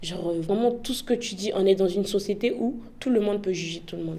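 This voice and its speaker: A woman with an Ivorian accent at a very fast pace, with audible room echo. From Côte d'Ivoire. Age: young. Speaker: immigrant interviewee. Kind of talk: interview. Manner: casual, hesitant with many fillers.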